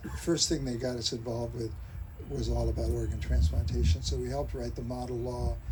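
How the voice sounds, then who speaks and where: A man talks at a fairly quick pace. There is audible echo in the room. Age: 80s+. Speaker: physician. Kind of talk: memorial speech.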